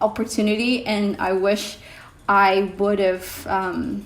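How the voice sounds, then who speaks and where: A woman with an Indonesian accent talks at a very slow pace and a medium pitch. Audible room echo and noticeable background noise are present. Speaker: vlogger. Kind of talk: casual vlog talk. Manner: hesitant, many fillers.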